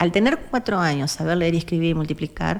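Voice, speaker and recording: Speaking at a fairly quick pace, a woman with an Argentine accent has a fairly low pitch and ordinary pitch variation. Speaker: activist, foundation president. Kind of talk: interview. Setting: studio.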